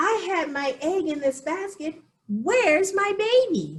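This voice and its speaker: Putting on a squeaky character voice at an extremely high pitch, a woman speaks at a fairly slow pace. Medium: read story.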